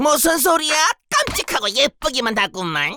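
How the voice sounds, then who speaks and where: This cartoonish character voice is pitched high and moves at a moderate pace. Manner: boastful, irritable.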